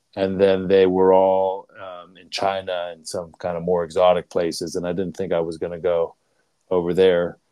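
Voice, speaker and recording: Over a quiet background, a man with an American accent speaks at a moderate pace in a very deep, low pitch, his dark, mellow tone delivered with monotone, flat intonation. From Pittsburgh, US. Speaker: leadership coach. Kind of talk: interview. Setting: video call. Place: home room. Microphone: earbuds.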